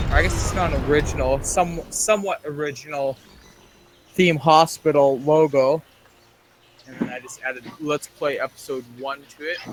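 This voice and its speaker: A man talks at a moderate pace, with big swings in loudness. Noticeable background noise runs underneath. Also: fairly high pitch for a man, ordinary pitch variation. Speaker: gaming streamer. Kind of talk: casual let's-play chat.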